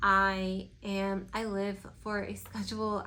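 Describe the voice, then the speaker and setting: Medium pitch from a woman, with audible room echo. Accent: Spanish. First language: Spanish. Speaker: lifestyle vlogger. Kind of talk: casual Q&A vlog. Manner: conversational, many fillers.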